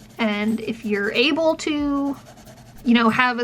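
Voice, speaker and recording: Her pitch is fairly high for a woman, with ordinary variation throughout. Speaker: professor and vlogger with chronic illness. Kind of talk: casual vlog chat. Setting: in a car. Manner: projects well.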